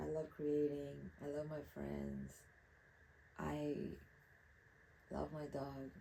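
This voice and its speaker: A woman in a Spanish accent speaks at a very slow pace with long, frequent pauses. Audible room echo surrounds her voice. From Mexico, Acapulco. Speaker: artist. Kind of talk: casual monologue while painting.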